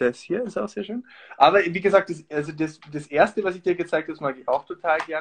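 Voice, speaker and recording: Using an unremarkable speaking voice, a man talks at a fairly quick pace and a fairly high pitch with ordinary pitch variation. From Austria. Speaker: actor. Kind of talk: casual chat with craft demonstration.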